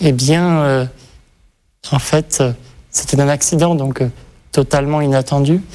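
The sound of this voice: The voice has a slightly mellow tone and fairly even intonation, moving at a moderate pace. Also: man.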